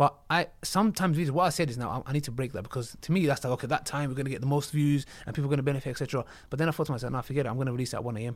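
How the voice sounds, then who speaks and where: The speaker has a London accent and talks at a very fast pace. There are hardly any pauses, and the pitch varies in an ordinary way. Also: man, fairly high pitch for a man. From North London, of Turkish-Kurdish family. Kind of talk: casual chat.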